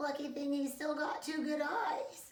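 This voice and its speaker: A woman performs a put-on character voice with a high pitch and ordinary pitch variation. She speaks at a moderate pace with a slight echo. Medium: read story.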